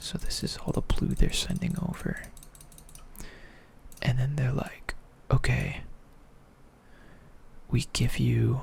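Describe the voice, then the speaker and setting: Someone whispers at a very slow pace with long, frequent pauses, and noticeable background noise is present. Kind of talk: ASMR talk to camera explaining topics casually. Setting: close microphone recording. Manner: casual, rambling, with filler words.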